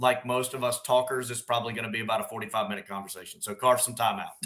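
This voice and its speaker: The speaker has a bright, sharp tone and talks with a Southern US accent. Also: man. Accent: Southern drawl. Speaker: firefighter officer. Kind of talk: casual chat. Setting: live stream.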